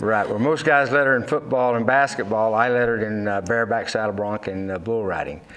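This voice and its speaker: A man with a Texan accent, medium pitch and ordinary pitch variation, talking at a fairly quick pace with hardly any pauses over noticeable background noise. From Texas, raised west of Fort Worth. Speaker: Navy veteran and cattle farmer. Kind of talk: interview. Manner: halting, many fillers.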